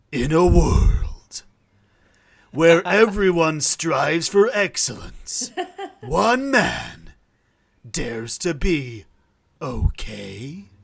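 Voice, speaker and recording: A put-on character voice at a middle pitch swings very widely in pitch, moving at a very slow pace with long, frequent pauses. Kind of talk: trailer narration.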